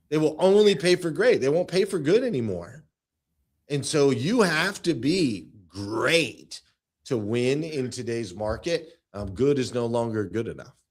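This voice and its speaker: This man's voice is fairly high and animated, with very wide pitch swings. He talks at a fairly slow pace. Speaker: automotive sales coach. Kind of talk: interview.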